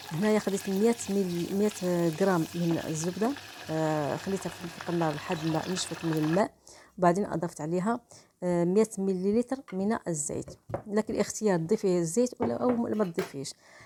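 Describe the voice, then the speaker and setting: A woman's dark, mellow tone at a medium pitch, with ordinary pitch variation and a moderate pace. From Morocco. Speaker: cooking channel host. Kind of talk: cooking tutorial voice-over. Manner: halting, frequent restarts and fillers.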